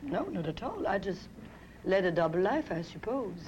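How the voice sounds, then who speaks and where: Speaking with a French accent, a woman talks at a fairly quick pace in a fairly low pitch. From France. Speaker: fashion designer and business owner. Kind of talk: TV talk show interview.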